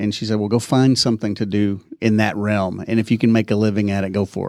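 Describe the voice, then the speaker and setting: This man speaks with an East Texas accent. His pitch sits in the medium range. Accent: East Texas drawl. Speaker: podcast producer. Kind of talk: casual interview. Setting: in person, same room. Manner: halting, many fillers.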